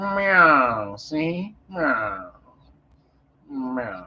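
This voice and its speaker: A man uses a put-on character voice with a fairly high pitch. His pitch swings very widely. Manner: gruff, tough-talking.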